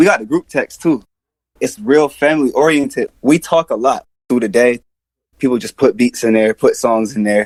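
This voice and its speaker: Moderately paced speech from a man with an American accent, the sound dry and close with no echo. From Atlanta, US South. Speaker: rapper and music producer. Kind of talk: interview.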